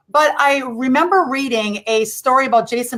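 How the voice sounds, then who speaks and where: Here a woman with a Midwestern accent speaks in a high voice. Her pitch varies in an ordinary way. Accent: rural Midwestern, still present. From US Midwest, rural Wisconsin. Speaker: former actress, pop culture speaker. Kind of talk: radio interview.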